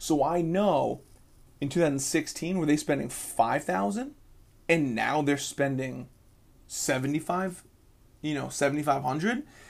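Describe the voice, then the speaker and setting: On a very clean recording with a silent background, a man with a fairly high-pitched voice sounds energetic, speaking at a fairly slow pace with long, frequent pauses and ordinary pitch variation. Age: 30s. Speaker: podcast host. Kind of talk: solo podcast monologue on sales. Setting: radio booth. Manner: energetic, casual.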